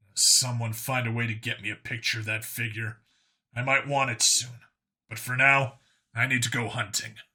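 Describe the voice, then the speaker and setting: In a put-on character voice, a man speaks at a medium pitch, raspy and at a moderate pace. The recording is very clean with a silent background. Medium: read story. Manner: blunt, direct.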